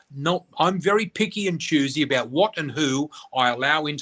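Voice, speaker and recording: A man with an Australian accent speaks at a fairly high pitch with ordinary pitch variation, in a dry, close sound with no echo. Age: 60s. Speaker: spiritual reader and teacher. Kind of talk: casual chat. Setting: radio interview. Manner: animated.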